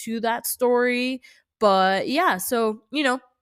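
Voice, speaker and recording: A woman's plain, everyday voice with an American accent, fairly high in pitch, with ordinary pitch variation and a fairly slow pace. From California. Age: 20s. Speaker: nail artist and horror storyteller. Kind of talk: casual storytelling vlog. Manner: casual, many fillers and restarts.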